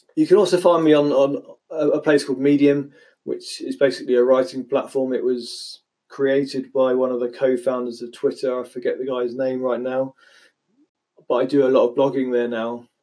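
Over a quiet background, a man with a West Country accent speaks at a medium pitch and a moderate pace, his dark, mellow tone holding a fairly even intonation. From West Country, England (Dorset). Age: 30s. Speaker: podcaster. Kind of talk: solo podcast monologue. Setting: home recording, standing at microphone. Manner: halting, with repeated words.

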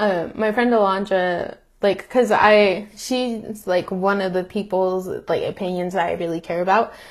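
In a normal speaking voice, a woman with an American accent talks at medium pitch and a fairly slow pace with fairly even intonation. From US, Mexican American. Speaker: podcast co-host. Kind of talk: casual chat.

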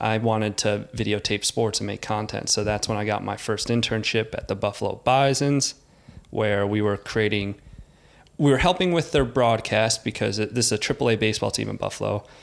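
At a fairly quick pace, a man speaks with a fairly low pitch, vocal fry and ordinary pitch variation. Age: 30s. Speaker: podcast host. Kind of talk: casual chat.

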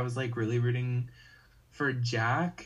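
A man with an American accent, somewhat breathy and medium in pitch, at a fairly slow pace amid audible room echo. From US South, North Carolina. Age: 18. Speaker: game production member. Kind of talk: casual chat.

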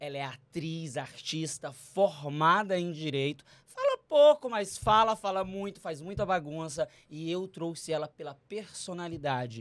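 Here a man speaks at a high pitch with ordinary pitch variation. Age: 30s. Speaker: podcast host. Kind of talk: casual interview.

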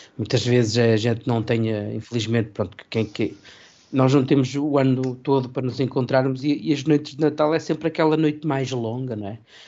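The speaker is a man with a plain, everyday voice and a medium pitch. He keeps a moderate pace with ordinary pitch variation. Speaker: radio presenter. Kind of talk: casual chat.

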